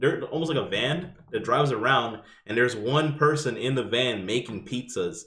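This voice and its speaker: A man with an American accent talks with ordinary pitch variation in a room with audible echo. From New York. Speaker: podcast co-host. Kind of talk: casual chat.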